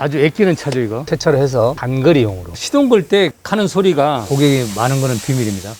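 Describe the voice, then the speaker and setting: Using an ordinary speaking voice, a man talks fairly quickly with hardly any pauses, his fairly high pitch moving in lively intonation. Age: 60s. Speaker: auto mechanic. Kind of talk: casual interview chat.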